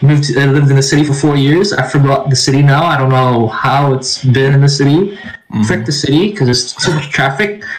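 Very even in loudness, a man races along at a very fast pace over noticeable background noise. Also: fairly high pitch for a man, ordinary pitch variation. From Philippines. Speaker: podcast co-host. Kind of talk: casual chat.

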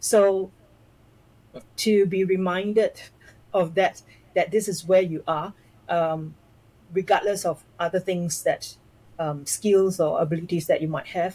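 A woman speaks slowly with long, frequent pauses and fairly even intonation. Her medium-pitched voice has a dark, mellow tone and is somewhat breathy. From Malaysia, schooled in Singapore. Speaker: personality coach. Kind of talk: interview conversation. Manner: halting, many fillers.

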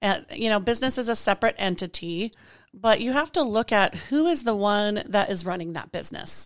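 A plain, everyday voice with an American accent and lively intonation moves at a fairly quick pace on a very clean recording with a silent background. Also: woman, fairly high pitch for a woman. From Colorado. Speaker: attorney. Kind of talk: casual interview. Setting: studio, in person.

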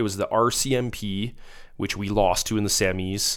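A man with a western Canadian accent speaks at a fairly low pitch. His intonation stays fairly even. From Alberta, Spruce Grove near Edmonton. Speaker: former hockey player, firefighter. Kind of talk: casual chat.

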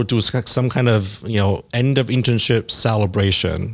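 A man with a medium pitch talks at a fairly slow pace, his intonation fairly even. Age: 40s. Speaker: corporate controller, accountant. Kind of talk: casual interview. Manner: halting, many restarts.

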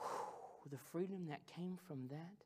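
A man with an American accent speaks at a fairly slow pace in a dark, mellow tone, his pitch varying in an ordinary way. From US Midwest (Missouri, Ozarks). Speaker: pastor. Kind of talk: sermon. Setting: stage with audience. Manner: animated.

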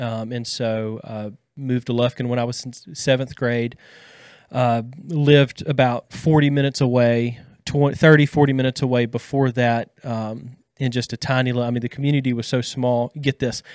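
In an East Texas accent, a man talks at a moderate pace and medium pitch in a monotone, flat delivery, the sound dry and close with no echo on a very clean recording over a silent background. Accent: East Texas Southern US. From Deep East Texas. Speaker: counseling intern. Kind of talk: casual chat. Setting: studio.

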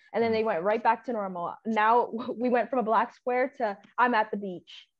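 A woman's fairly high, plain, everyday voice at a moderate pace with ordinary pitch variation. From Canada. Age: 20s. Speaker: podcast guest, activist. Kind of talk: casual chat.

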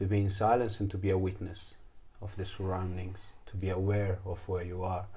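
The voice has a dark, mellow tone and is somewhat breathy, with monotone, flat intonation at a moderate pace. Audible room echo surrounds it. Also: man, very deep, low pitch for a man. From Italy. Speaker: trekking guide and fire keeper. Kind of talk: casual chat. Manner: halting.

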